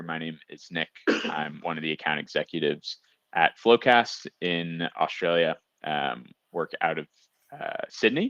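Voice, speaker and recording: A man's very deep, low voice with a bright, sharp tone and an American accent, fairly slow in pace, in a dry, close sound with no echo. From US, San Francisco. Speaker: software account executive. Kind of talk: webinar presentation.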